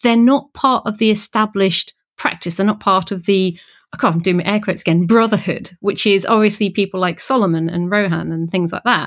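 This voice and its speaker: In a plain, everyday voice of medium pitch, a woman speaks with ordinary pitch variation on a very clean recording against a silent background. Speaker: podcast co-host. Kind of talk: casual interview chat.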